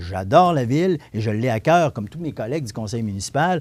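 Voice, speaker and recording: Recorded very cleanly with a silent background, a man speaks at a moderate pace and medium pitch in a dark, mellow tone with lively intonation. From Quebec, Montmagny. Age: 60s. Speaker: city councillor. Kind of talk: interview. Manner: halting, many repetitions.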